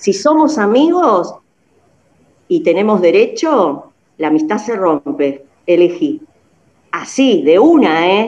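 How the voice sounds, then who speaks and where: Very wide pitch swings at a very slow pace. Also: woman. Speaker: friend of the show. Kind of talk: casual chat. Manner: animated.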